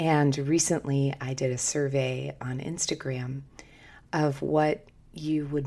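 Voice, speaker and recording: Very slowly, a woman speaks with a very deep, low voice. Her pitch variation is ordinary. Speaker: podcast host. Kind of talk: podcast monologue. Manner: seductive tone.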